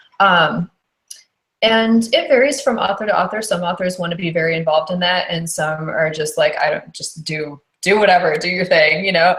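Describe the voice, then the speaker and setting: A woman speaks in an ordinary speaking voice, pitched fairly low. Her pace is moderate and her pitch varies in an ordinary way. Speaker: audiobook narrator. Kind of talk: podcast interview answer.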